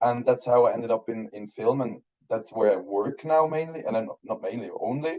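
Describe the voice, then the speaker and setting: A man with a German accent talks at a fairly quick pace. His pitch is medium, with ordinary variation. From Switzerland, Basel. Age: 30s. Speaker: film director. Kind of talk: interview. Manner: halting.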